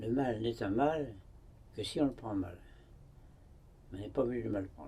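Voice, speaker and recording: A man's medium-pitched, somewhat breathy voice with a dark, mellow tone, ordinary pitch variation, big swings in loudness and long, frequent pauses. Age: 90s. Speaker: hermit monk. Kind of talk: interview. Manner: halting.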